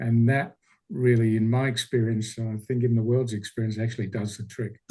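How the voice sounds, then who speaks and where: Somewhat breathy, a man with an Australian accent talks with fairly even intonation. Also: medium pitch for a man, fairly quick pace. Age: 60s. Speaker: speaker, retired teacher. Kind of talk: Q&A answer. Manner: halting.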